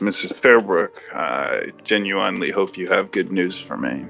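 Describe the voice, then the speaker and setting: A resonant put-on character voice at a moderate pace, with clear music in the background. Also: man, very deep, low pitch for a man. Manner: stern, grave.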